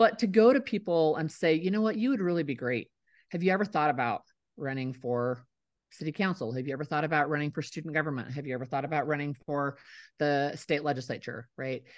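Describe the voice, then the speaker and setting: A woman's very deep, low voice at a very fast pace, with lively intonation, over a quiet background. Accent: American. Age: 50s. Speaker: writer and former state legislator. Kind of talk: interview.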